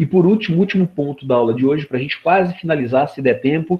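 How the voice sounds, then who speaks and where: A man is speaking in a fairly high voice. His intonation is lively. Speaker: law professor. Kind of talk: lecture. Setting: video call. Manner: animated.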